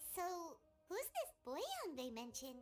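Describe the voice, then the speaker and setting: Over music in the background, a squeaky put-on character voice at an extremely high pitch moves at a moderate pace with very wide pitch swings. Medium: video game. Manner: inquisitive, expressive.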